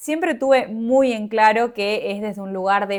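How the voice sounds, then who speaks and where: In a very clean recording with a silent background, a woman speaks at a moderate pace in a plain, everyday voice of medium pitch. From Argentina, Misiones province. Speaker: podcaster. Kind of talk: personal reflective monologue.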